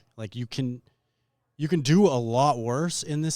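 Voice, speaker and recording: A man speaks in an unremarkable speaking voice at a moderate pace, with ordinary pitch variation. The recording is very clean, with a silent background. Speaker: interviewer. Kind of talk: interview questions.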